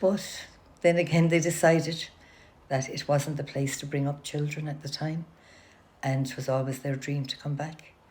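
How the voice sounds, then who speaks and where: A woman speaks at a moderate pace with a very deep, low pitch and monotone, flat intonation. Her voice is somewhat breathy, broken by long, frequent pauses. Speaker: oral history interviewee. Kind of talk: oral history interview.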